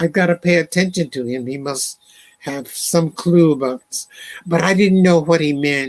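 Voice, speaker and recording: An ordinary speaking voice from a man, fairly high in pitch, with ordinary pitch variation. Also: dry, close sound with no echo. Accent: American. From Alabama, US South. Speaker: poet and librettist. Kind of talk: interview conversation.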